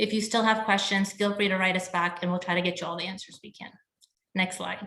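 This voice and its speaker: A woman with a medium-pitched voice speaks at a very fast pace in a flat monotone. Her loudness swings widely. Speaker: hotel sales representative. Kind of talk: virtual event presentation.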